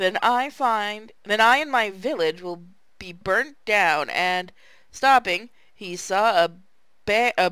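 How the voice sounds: What comes through is a natural reading voice.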